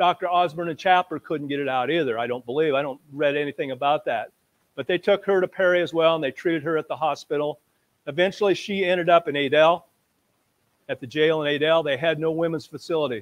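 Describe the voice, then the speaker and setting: A man with an American accent talks very fast in a fairly high pitch. His pitch varies in an ordinary way. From US Midwest, Iowa (Dexter). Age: 70s. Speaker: retired teacher and local historian. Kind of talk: history talk to a live audience. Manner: casual, conversational.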